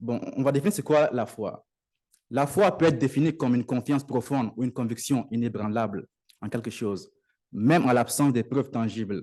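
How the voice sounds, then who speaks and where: Against a quiet background, a man talks at a fairly quick pace in a dark, mellow tone with ordinary pitch variation. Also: medium pitch for a man. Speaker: lay preacher. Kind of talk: sermon. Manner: halting.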